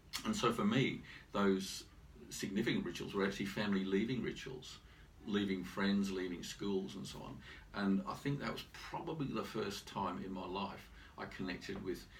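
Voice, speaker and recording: Heard with audible room echo, the speaker moves at a moderate pace with ordinary pitch variation. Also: man, fairly low pitch for a man. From Britain and Ireland, moved often. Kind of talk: interview.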